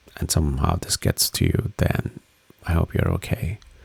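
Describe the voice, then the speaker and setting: Speaking at a very deep, low pitch, a man keeps a relaxed tone. Noticeable background noise runs underneath. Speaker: crypto market commentator. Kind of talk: casual chart analysis talk. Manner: slow, relaxed pace; hesitant, many fillers.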